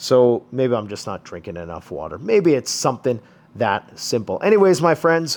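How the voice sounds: A man with a medium-pitched voice talks at a moderate pace, his pitch swinging widely.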